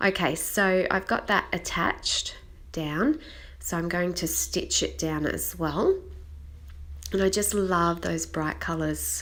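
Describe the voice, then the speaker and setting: The speaker talks at a very slow pace with an Australian accent. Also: woman. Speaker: scrapbooking crafter. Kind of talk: tutorial.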